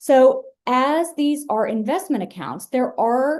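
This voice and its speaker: A woman's dark, mellow voice with very wide pitch swings, over a quiet background. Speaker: outreach specialist for a state savings program. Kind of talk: webinar presentation. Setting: online webinar.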